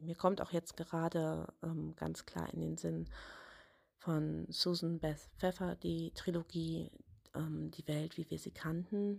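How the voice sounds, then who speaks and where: A woman talks at a very slow pace. The recording is very clean, with a silent background. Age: 30s. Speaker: author. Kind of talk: interview answers.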